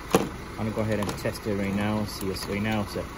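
With noticeable background noise present, a man talks at a moderate pace. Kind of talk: tutorial. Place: garage. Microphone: phone near.

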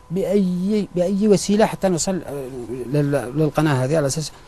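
A man at a fairly slow pace with ordinary pitch variation, noticeable background noise behind him. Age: 30s. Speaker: surgical nurse, victim of abuse. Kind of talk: testimony.

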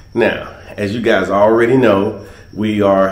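There is audible room echo. A man speaks with fairly even intonation. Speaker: travel company host. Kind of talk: casual vlog chat. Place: home room. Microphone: phone near.

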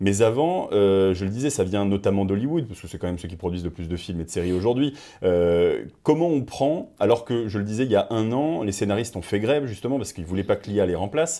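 The tone is dark and mellow, with lively intonation and hardly any pauses. The recording is very clean, with a silent background. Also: man, fairly low pitch for a man. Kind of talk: interview.

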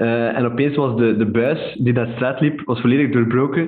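Against a quiet background, a man speaks at a moderate pace. His intonation stays fairly even. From Flanders, Belgium. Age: 20s. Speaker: entrepreneur; podcast guest. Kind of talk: interview. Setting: remote recording. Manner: hesitant, many fillers. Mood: relaxed, amused storytelling. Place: home room.

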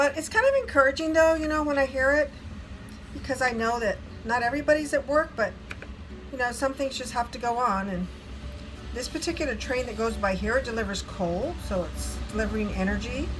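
The pace is fairly quick. Noticeable background noise can be heard. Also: woman. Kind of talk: casual cooking vlog chat. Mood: warm, upbeat. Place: kitchen. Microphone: phone near.

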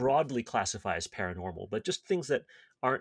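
The background stays quiet while a man speaks. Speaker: podcast host. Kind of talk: casual podcast explanation. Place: home room. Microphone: webcam.

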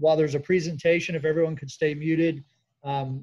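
The voice is somewhat breathy, with monotone, flat intonation at a fairly quick pace. The background is quiet. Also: man. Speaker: seminar host. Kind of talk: event welcome and housekeeping. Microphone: video call.

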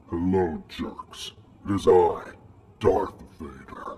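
Raspy and very slow, a man speaks. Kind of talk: comic overacting. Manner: pompous, theatrical menace.

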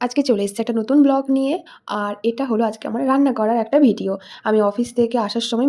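This woman's voice has a dark, mellow tone and fairly even intonation. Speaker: vlogger. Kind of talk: cooking vlog. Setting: home kitchen.

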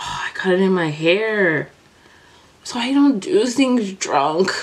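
Drawling at a very slow pace, a woman speaks. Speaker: beauty vlogger. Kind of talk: casual vlog chat. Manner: drunk, sloppy drawling speech. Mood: playful, joking. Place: home room. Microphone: phone near.

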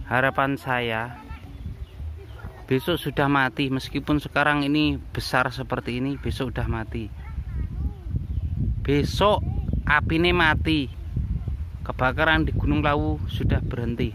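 A man talks at a fairly slow pace with long, frequent pauses, his voice dry with no echo over noticeable background noise. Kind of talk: casual vlog commentary. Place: open country. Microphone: phone near.

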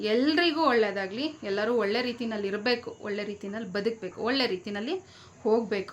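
An animated tone with ordinary pitch variation over noticeable background noise. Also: woman, fairly high pitch for a woman. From Bangalore, Karnataka. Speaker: vlogger. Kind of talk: opinion vlog rant.

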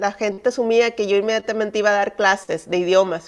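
A woman's voice at a moderate pace, with fairly even intonation and a quiet background. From northern Mexico, Monterrey; northern Mexico. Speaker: missionary; guest. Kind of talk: testimony. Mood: warm, personal storytelling. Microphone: video call.

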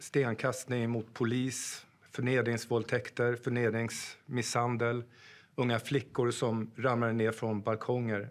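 A man is speaking. He goes at a fairly slow pace. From Sweden, Gästrikland (Sandviken); Gästrikland, Sweden. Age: 50s. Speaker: police officer and political candidate; candidate. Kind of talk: campaign pitch. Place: studio.

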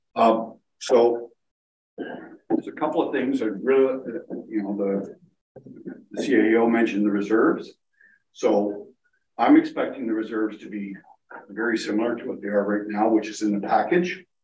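A man speaks at a moderate pace with fairly even intonation, big swings in loudness and long, frequent pauses, amid audible room echo and light background noise. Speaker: municipal finance official. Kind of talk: council meeting report. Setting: council chambers, also on Zoom. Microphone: video call.

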